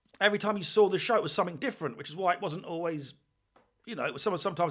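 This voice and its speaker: Speaking very fast, a man with an English accent has a high pitch. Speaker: podcast host. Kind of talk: casual podcast monologue.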